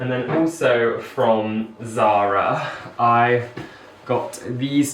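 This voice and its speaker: A mumbling man at medium pitch with ordinary pitch variation, amid audible room echo and noticeable background noise. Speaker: lifestyle vlogger. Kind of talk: haul video chat to camera. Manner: chatty.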